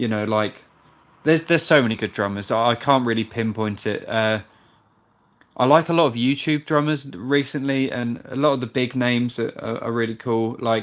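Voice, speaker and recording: A man speaks at a medium pitch and a moderate pace, with ordinary pitch variation. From UK. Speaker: drummer and video creator. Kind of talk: live stream Q&A.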